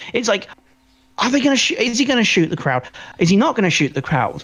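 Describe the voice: The pitch swings widely, with a slightly husky edge. The pace is fast. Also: man, high pitch for a man.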